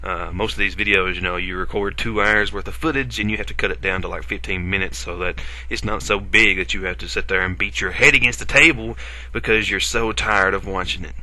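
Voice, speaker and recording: In an Appalachian accent, a man talks at a very fast pace with a very deep, low pitch and very wide pitch swings, and room echo is audible. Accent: Appalachian, self-described. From Appalachia, US. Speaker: gaming video creator. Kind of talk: gameplay commentary. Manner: casual, hesitant with fillers.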